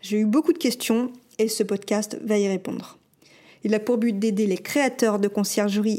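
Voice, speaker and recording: A dark, mellow tone comes through at a fairly slow pace in a very clean recording with a silent background. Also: woman. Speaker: podcast host and short-term rental concierge business owner. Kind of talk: scripted narration.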